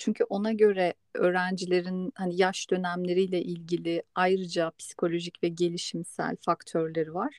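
A woman's unremarkable speaking voice at a medium pitch and moderate pace, with fairly even intonation, hardly any pauses, and a dry, close sound with no echo. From Istanbul, Turkey. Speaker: podcast host on migration psychology. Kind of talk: casual chat.

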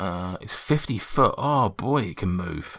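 In a normal speaking voice with lively intonation, the words come through on a very clean recording against a silent background. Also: man. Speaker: dungeon master. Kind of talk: tabletop role-playing game session, casual banter.

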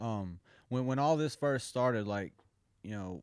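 Against a silent background on a very clean recording, a man with an American accent uses an ordinary speaking voice at medium pitch and moderate pace. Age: 30s. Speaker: jiu-jitsu coach and fighter. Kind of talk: casual chat.

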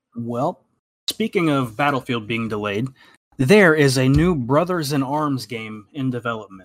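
A man's plain, everyday voice, medium in pitch, at a fairly slow pace with lively intonation. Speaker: podcast host. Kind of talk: casual chat.

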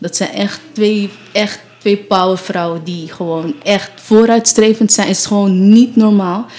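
A woman speaks at a fairly slow pace in a medium pitch with ordinary pitch variation. There is noticeable background noise. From Amsterdam, Netherlands. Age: 20s. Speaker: nurse. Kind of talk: casual chat. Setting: radio studio.

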